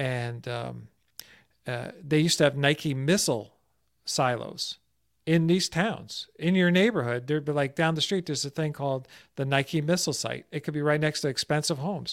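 On a very clean recording with a silent background, a man with an American accent and an unremarkable speaking voice talks at a moderate pace with a fairly high pitch and ordinary pitch variation. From New Jersey, US. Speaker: stress prevention expert. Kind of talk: casual interview.

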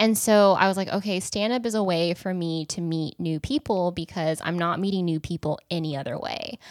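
A woman speaks fairly quickly at a fairly low pitch. It is an ordinary speaking voice. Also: ordinary pitch variation. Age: 30s. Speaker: comedian. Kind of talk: casual chat.

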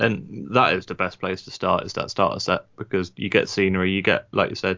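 The man's pitch is very deep and low. He speaks at a moderate pace in a monotone, flat intonation. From southern England. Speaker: podcast co-host. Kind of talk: casual chat.

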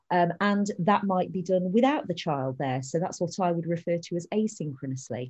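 With a British accent, a woman talks at a moderate pace in a fairly low pitch, somewhat breathy, with lively intonation and hardly any pauses. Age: 40s. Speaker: family learning coach. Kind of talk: interview.

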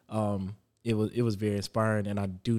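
This man has an American accent and a fairly low voice with a dark, mellow tone. He speaks in a flat monotone. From South Carolina (Florence). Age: 30s. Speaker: father sharing experiences. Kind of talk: casual conversation.

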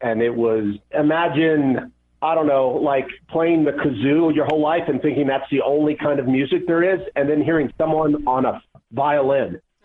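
At a moderate pace, a man with an American accent speaks in a plain, everyday voice with a fairly high pitch. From Atlanta, US South. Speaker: competitive pinball player. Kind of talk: interview.

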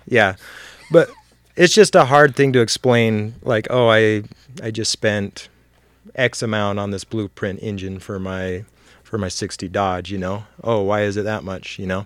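A man in an ordinary speaking voice at a fairly low pitch, with ordinary pitch variation, big swings in loudness, a fairly slow pace, and a very clean recording over a silent background. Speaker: car and motorcycle hobbyist, works in sales. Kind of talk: casual chat.

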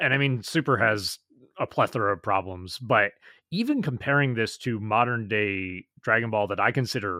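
On a very clean recording with a silent background and a dry, close sound with no echo, a man speaks in a bright, sharp, fairly low voice at a moderate pace with ordinary pitch variation. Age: 30s. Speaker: podcast co-host. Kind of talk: casual chat. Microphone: new audio equipment.

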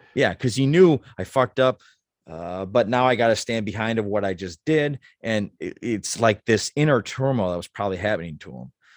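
On a very clean recording with a silent background, a man with a plain, everyday voice talks at a fairly quick pace, his medium pitch carrying lively intonation. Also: dry, close sound with no echo. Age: 40s. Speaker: podcast co-host. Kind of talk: casual chat.

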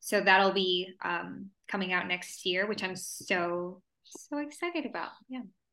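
Speaking fairly slowly with a Spanish accent, a woman has a bright, sharp tone at medium pitch with ordinary pitch variation. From El Paso, Texas and Juarez, Mexico. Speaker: actress and singer. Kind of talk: interview.

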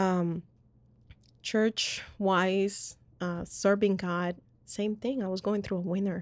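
A woman with a Spanish accent speaks at a very slow pace in a medium, monotone, flat voice, with long, frequent pauses, in a very clean recording with a silent background. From Colombia. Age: young. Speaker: podcast co-host. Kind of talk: personal testimony.

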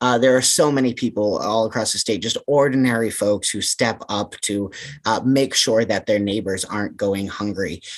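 With an American accent, a man uses a normal speaking voice at a moderate pace, medium pitch and ordinary pitch variation. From central Massachusetts. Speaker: anti-hunger campaign manager. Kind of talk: interview.

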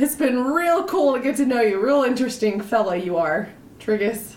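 Putting on a character voice, a woman sounds gruff and high-pitched, with very wide pitch swings. Her loudness stays very even at a moderate pace. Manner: warm, touched.

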